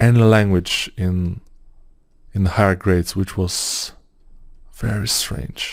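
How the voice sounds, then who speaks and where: A man speaks in a dark, mellow tone at a very slow pace. The recording is very clean, with a silent background. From Bulgaria. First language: Bulgarian. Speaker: 3D modeling tutor. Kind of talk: tutorial. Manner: casual, halting with fillers.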